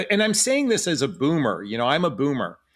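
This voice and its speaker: A man talks at a fairly quick pace, his pitch swinging very widely. The recording is very clean, with a silent background. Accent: American. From Los Angeles, California. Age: 60s. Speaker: dating and relationship coach, YouTuber. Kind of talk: casual interview chat.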